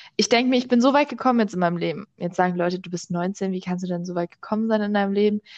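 Here a woman talks at a very fast pace with hardly any pauses. Her pitch is medium, with ordinary variation. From Berlin, Germany. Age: young. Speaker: podcast host. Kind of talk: casual chat. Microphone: microphone problems.

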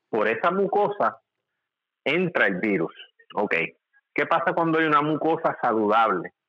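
Speaking at a fairly slow pace with long, frequent pauses, a man with a fairly high pitch and vocal fry swings his pitch very widely while his loudness stays very even. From Puerto Rico, Ponce. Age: 40s. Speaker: medical doctor. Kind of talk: casual interview.

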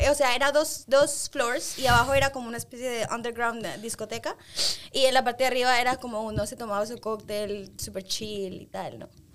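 High-pitched woman at a fairly quick pace, fairly even intonation and big swings in loudness, with noticeable background noise. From Spain and London, Ecuadorian parents. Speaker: manager. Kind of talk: casual chat.

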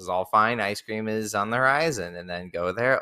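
At a fairly quick pace, a man speaks in a bright, sharp tone at a fairly low pitch with ordinary pitch variation, on a very clean recording with a silent background. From US, partly raised in Okinawa, Japan. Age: 30s. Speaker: fifth grade teacher. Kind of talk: casual chat.

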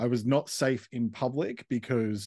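The speaker has an Australian accent. The background is quiet. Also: man. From Australia, Western Sydney. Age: 40s. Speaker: counsellor and podcaster. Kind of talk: casual interview.

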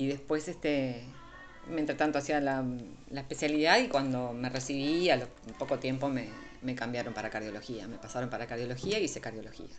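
A woman with a Uruguayan accent speaks fairly quickly at a very deep, low pitch with ordinary pitch variation. Music plays in the background, and room echo is audible. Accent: Rioplatense Spanish (Uruguayan). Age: 50s. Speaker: physician. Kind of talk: interview conversation. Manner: halting.

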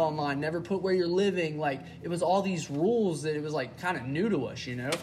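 With a Southern US accent, a man talks at a very fast pace and high pitch with ordinary pitch variation, amid noticeable background noise and audible room echo. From Mississippi (Starkville). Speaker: podcast co-host. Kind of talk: casual chat. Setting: garage.

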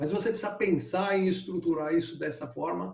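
The man's pitch is high. He talks at a moderate pace. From Brazil, Bauru (São Paulo state). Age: 70s. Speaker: glider pilot, eight-time national champion. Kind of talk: interview, storytelling.

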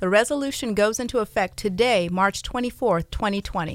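At a moderate pace and with ordinary pitch variation, this is a normal speaking voice. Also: woman. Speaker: radio host and realtor. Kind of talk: radio DJ patter: live call-in radio show chat. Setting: radio studio. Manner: chatty, upbeat, laughing, ad-libbing with listeners.

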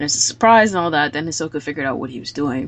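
The woman's voice sits very deep and low. Her intonation is lively. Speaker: podcast host discussing anime. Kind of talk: casual chat about anime episode. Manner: more emotional than the others.

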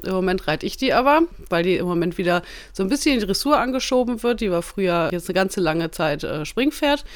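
A woman speaks very fast at a medium pitch with lively intonation. The recording is very clean, with a silent background. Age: 30s. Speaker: insurance agent and horse rider. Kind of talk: casual interview. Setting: studio, shared handheld mic.

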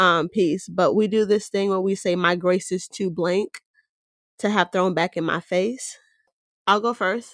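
Here is a woman with an ordinary speaking voice at medium pitch, speaking at a fairly slow pace with fairly even intonation. The recording is very clean, dry and close, with a silent background and no echo. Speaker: podcast co-host. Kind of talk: casual interview.

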